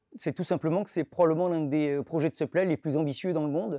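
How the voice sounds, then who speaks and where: Against a quiet background, a man with a fairly high pitch and a dark, mellow tone speaks at a fairly quick pace with ordinary pitch variation, in a dry sound with no echo. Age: 30s. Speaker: supply chain director at a retailer. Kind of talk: corporate recruitment testimonial. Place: office.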